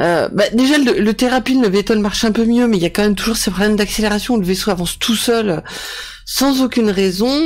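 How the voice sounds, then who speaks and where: Over noticeable background noise, a woman talks at a fairly quick pace. Her loudness stays very even, and her pitch varies in an ordinary way. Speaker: gaming streamer. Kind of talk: live gameplay commentary. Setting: video call. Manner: halting.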